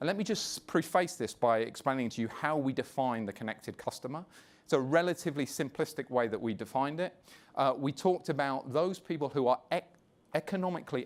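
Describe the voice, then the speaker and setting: Speaking with a British accent, a man moves at a fairly quick pace with ordinary pitch variation. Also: fairly high pitch for a man. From London, England. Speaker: media executive. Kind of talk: conference presentation.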